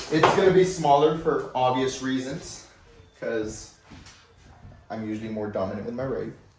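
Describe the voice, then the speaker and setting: In a room with audible echo and noticeable background noise, a man at medium pitch speaks with big swings in loudness. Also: lively intonation, moderate pace. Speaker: fitness vlogger. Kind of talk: casual vlog talk. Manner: casual, filler-heavy.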